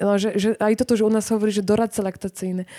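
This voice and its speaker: A woman's dark, mellow voice at medium pitch comes across with a dry, close sound and no echo. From Poland. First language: Polish (speaking Slovak). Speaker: author, reporter. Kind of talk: book launch talk. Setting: live event with audience.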